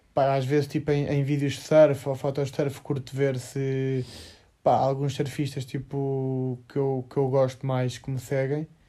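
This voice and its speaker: Monotone, flat intonation marks a man's fairly high voice with a dark, mellow tone. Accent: European Portuguese. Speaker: podcast co-host, surfer. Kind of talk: casual chat. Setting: lying in bed at night.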